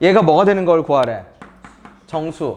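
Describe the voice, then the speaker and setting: Pitch shifts in an ordinary way. The delivery moves at a moderate pace. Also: man. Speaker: math teacher. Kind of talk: lecture.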